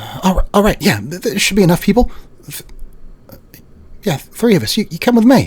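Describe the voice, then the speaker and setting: A put-on character voice moves at a fairly quick pace with lively intonation. Its loudness swings widely, and long pauses come often. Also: man, high pitch for a man. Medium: actual play. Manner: hurried, clipped.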